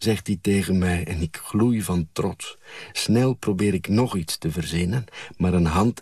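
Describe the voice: The speaker gives a plain reading aloud with ordinary pitch variation.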